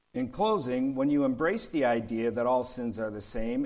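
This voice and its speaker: Audible room echo around a man's voice, in an American accent. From US Midwest, Detroit. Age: 60s. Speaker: pastor. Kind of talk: sermon.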